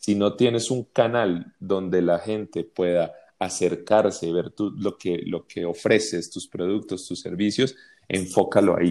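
In a very clean recording with a silent background, a man with a very deep, low pitch and a dark, mellow tone speaks at a fairly slow pace with fairly even intonation. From Colombia. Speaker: advertising agency creative director. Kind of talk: interview conversation. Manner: hesitant, many fillers and repetitions.

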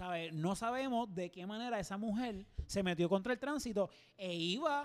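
In a Puerto Rican accent, the speaker sounds animated, with lively intonation. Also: man. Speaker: podcast co-host. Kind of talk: casual chat.

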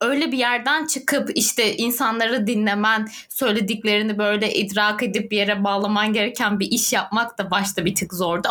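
Fairly high pitch from a woman, with noticeable noise in the background. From southern Turkey (Adana, Antakya). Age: 20s. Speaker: youth NGO volunteer and podcast co-host. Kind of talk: casual chat.

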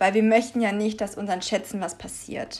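In a normal speaking voice, a woman speaks at a fairly high pitch with fairly even intonation. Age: 20s. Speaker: pet podcast host. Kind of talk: solo podcast monologue.

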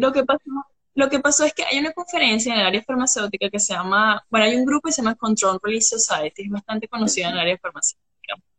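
Bright and sharp in tone, a woman talks very fast with lively intonation and a fairly high pitch, the sound dry and close with no echo. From Venezuela. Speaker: pharmaceutical chemist. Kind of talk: casual interview. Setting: Instagram live video call.

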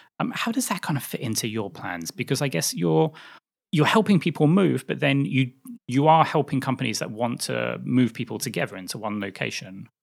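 A man at a fairly quick pace, medium pitch with very wide pitch swings and vocal fry. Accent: British. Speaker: podcast host. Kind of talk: interview conversation.

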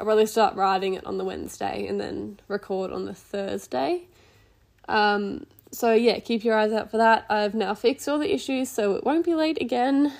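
A woman with an Australian accent and lively intonation, on a very clean recording with a silent background. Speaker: podcast host, equestrian rider. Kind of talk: casual solo podcast. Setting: at home on couch.

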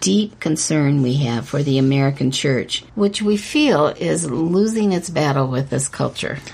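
At a fairly slow pace, a woman with a very deep, low pitch and a somewhat breathy voice makes very wide pitch swings. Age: 70s. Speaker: author and podcast co-host. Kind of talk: religious discussion podcast.

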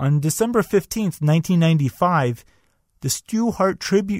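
Speaking at a moderate pace with lively intonation, a man has a normal speaking voice, recorded very cleanly with a silent background and a dry, close sound with no echo. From Canada. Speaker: wrestling podcast host. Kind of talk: podcast monologue with match play-by-play.

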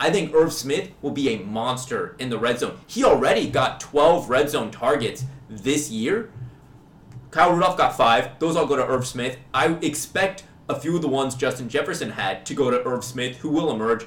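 Someone with an American accent speaks at a moderate pace with lively intonation and a somewhat breathy quality, in a room with audible echo. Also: man, fairly high pitch for a man. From US Midwest, Kansas City. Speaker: fantasy football podcast co-host. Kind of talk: casual chat.

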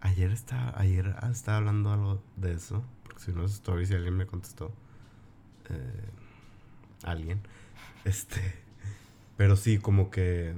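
A man speaks at a fairly slow pace with fairly even intonation and long, frequent pauses. Noticeable background noise runs behind him. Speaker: podcast host. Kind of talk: casual chat.

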